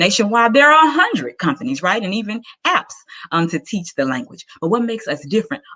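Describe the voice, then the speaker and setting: A woman talks at a very fast pace with a Southern US accent. Her pitch swings very widely. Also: fairly high pitch for a woman. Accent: Southern American. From US South, Arkansas. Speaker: entrepreneur pitching her business. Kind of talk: pitch presentation.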